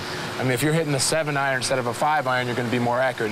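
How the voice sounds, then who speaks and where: Over noticeable background noise, a man of medium pitch talks at a very fast pace with fairly even intonation. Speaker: pro basketball player. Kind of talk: casual interview talk.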